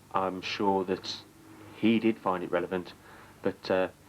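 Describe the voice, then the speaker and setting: The speaker talks quietly at a moderate pace in a British accent. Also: man. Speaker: dating show participant. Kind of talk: interview testimony. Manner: limp, quiet vocal delivery.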